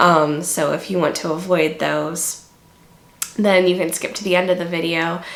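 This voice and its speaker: A woman's fairly low, monotone voice with flat intonation, audible room echo and noticeable background noise. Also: moderate pace. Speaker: book reviewer. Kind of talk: casual book review monologue. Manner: hesitant, many fillers.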